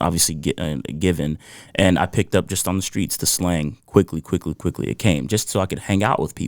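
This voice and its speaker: In a dry, close sound with no echo, a man with a very deep, low voice speaks at a fairly quick pace in a relaxed tone, with ordinary pitch variation. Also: very clean recording, silent background. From US Northeast (New Jersey), born in Ghana. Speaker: musician and guitar teacher. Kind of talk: podcast interview. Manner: relaxed, with many fillers.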